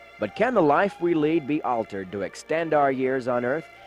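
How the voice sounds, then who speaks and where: With music in the background, a man speaks at a moderate pace in a fairly high pitch with lively intonation. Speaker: TV magazine reporter. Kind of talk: TV feature narration.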